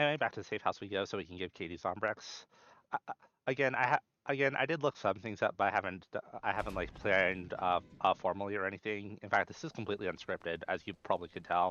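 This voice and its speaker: The man's voice is fairly low, with ordinary pitch variation. He speaks at a very fast pace. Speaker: gaming youtuber / modder. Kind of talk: unscripted gameplay commentary. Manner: halting, many fillers and repetitions.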